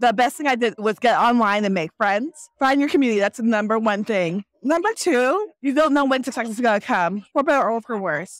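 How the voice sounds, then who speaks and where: A woman talks at a fairly quick pace with hardly any pauses, in an ordinary speaking voice. Her fairly high pitch carries lively intonation, and the sound is dry and close with no echo. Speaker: novelist. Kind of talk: casual interview. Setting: book festival floor.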